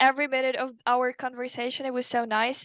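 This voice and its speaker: Raised and projected, a woman's high-pitched voice has a bright, sharp tone and a fairly quick pace, in a dry, close sound with no echo. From Ukraine. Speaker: language student. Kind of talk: casual interview chat. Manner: halting.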